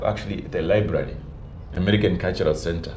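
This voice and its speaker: Audible room echo and noticeable background noise fill the recording. Through them comes a man's voice. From northern Namibia. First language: Namibian local language. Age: 50s. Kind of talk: interview.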